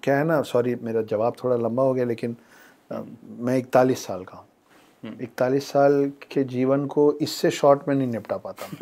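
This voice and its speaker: A man's dark, mellow voice at a medium pitch, fairly even in intonation but with big swings in loudness. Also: moderate pace. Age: 40s. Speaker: author. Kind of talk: casual chat. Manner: reflective, storytelling.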